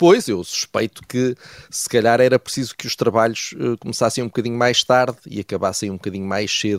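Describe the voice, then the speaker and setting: A man talks at a fairly quick pace with lively intonation, the sound dry and close with no echo. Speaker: political commentator. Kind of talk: radio commentary segment. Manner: hesitant, many fillers.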